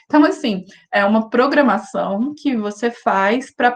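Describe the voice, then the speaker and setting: The woman's fairly high voice comes across somewhat breathy. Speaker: university lecturer. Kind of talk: lecture. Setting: video call.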